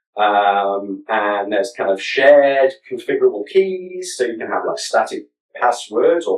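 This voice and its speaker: Big swings in loudness mark this man's speech, which has hardly any pauses. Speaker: conference speaker. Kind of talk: conference talk. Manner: fast; hesitant, many fillers.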